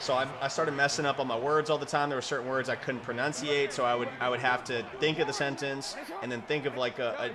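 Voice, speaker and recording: The speaker talks at a fairly quick pace with fairly even intonation over noticeable background noise. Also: man. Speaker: gaming video creator. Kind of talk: gameplay commentary. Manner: fast; stumbles over words often.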